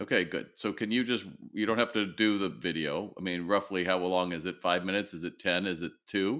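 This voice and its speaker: A man speaks with a very deep, low pitch and a bright, sharp tone, using ordinary pitch variation at a fairly quick pace. The recording is very clean, with a silent background. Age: 60s. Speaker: retail consultant. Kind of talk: coaching session. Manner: direct.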